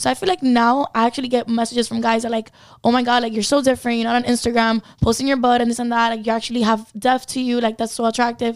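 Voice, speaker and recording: Speaking very fast in a Spanish accent, a woman keeps a fairly high pitch with monotone, flat intonation. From Cuba. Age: 20s. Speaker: model and online content creator. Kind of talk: casual chat.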